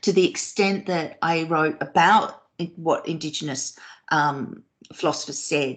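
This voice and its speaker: A woman with an Australian accent speaks at a moderate pace in a very deep, low voice, her pitch moving in an ordinary way. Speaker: professor. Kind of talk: Q&A after academic talk. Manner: hesitant, many fillers.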